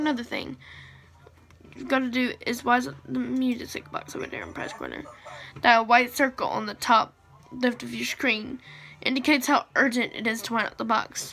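A woman talks at a moderate pace with long, frequent pauses, while faint music plays in the background. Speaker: gamer filming his screen. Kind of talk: casual gameplay commentary, reading dialogue aloud. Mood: amused, laughing. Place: home room. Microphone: phone near.

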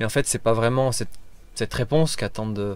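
The man's pitch varies in an ordinary way, and the sound is dry with no echo. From France, Auvergne (Clermont-Ferrand); Auvergne, France. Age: 30s. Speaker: motorcycle travel guide. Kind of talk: interview. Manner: hesitant, many fillers. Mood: calm, reflective. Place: car. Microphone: phone near.

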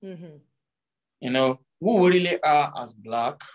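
A man with lively intonation talks at a moderate pace, and the background is quiet. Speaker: guest. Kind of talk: interview answer. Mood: reflective, earnest. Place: home room. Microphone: video call.

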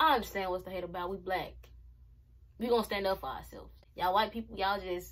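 The speaker is a woman. Vocal fry runs through her voice. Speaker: reaction vlogger. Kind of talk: casual vlog commentary. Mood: passionate, frustrated. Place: home room. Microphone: phone near.

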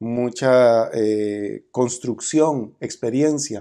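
A man speaks with a Costa Rican accent. His tone is dark and mellow against a quiet background. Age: 50s. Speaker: criminologist and politician; politician. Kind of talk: interview. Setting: conference venue. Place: meeting room.

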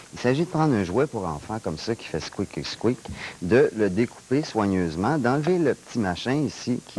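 Very wide pitch swings mark this man's voice. He keeps a moderate pace. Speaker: guest. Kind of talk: comic mock demonstration. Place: studio. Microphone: lapel.

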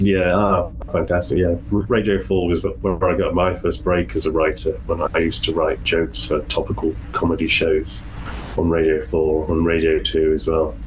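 A lively, rising-and-falling delivery at a moderate pace, with a Welsh accent, very even loudness and noticeable background noise. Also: man, very deep, low pitch for a man. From Wales. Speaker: author. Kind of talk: interview.

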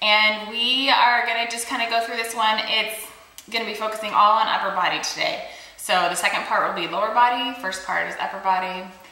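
Ordinary pitch variation amid audible room echo. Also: woman. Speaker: fitness instructor. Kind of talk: workout intro chat. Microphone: phone near.

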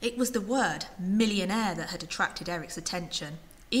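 The clip features a natural reading voice whose pitch varies in an ordinary way.

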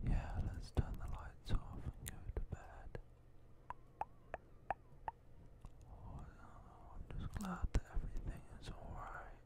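A soft-spoken whisper comes at a very slow pace with long, frequent pauses, the sound dry with no echo under loud background noise. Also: man. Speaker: gaming video creator. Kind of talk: gameplay commentary, reading game dialogue aloud. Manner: close soft ASMR whisper. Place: home room. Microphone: studio mic.

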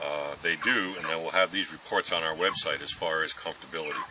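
A man at a fairly quick pace, in a dry sound with no echo, against noticeable background noise. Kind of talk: tutorial. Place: open country. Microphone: camera far.

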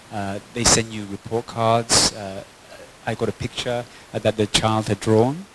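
Noticeable background noise runs under the recording. Over it, a man speaks at a moderate pace. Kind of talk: personal testimony to an audience. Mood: warm, heartfelt. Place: hall. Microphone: handheld.

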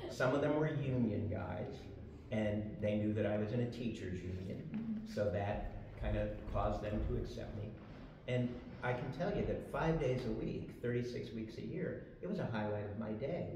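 A man's fairly low voice at a moderate pace with ordinary pitch variation, amid audible room echo and noticeable background noise. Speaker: panelist. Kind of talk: personal storytelling on a panel. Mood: warm, reminiscing. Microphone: camera far.

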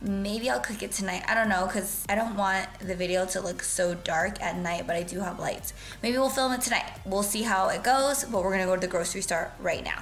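Faint music can be heard in the background. A woman speaks at a fairly quick pace with ordinary pitch variation. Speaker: lifestyle vlogger. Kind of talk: casual vlog chat. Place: kitchen. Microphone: phone near.

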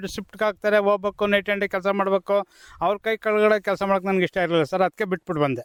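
Recorded very cleanly against a silent background, a high-pitched man sounds dry and close, with no echo. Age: 40s. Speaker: farmer. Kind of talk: radio interview.

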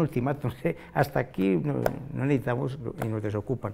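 A man speaks with a dark, mellow tone. His pace is fairly quick. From Colombia, Manzanares, Caldas; Caldas, Colombia. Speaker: musician; interviewee. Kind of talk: interview. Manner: halting. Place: studio.

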